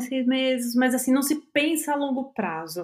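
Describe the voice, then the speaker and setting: With a Brazilian accent, a woman speaks at a moderate pace. Her voice is high, with ordinary pitch variation. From Brazil, São Paulo. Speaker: museum documentation researcher. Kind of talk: casual chat.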